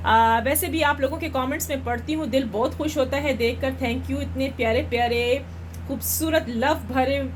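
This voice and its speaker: A woman talks at a fairly slow pace, and room echo is audible around her. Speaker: astrologer and tarot card reader. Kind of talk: live stream chat.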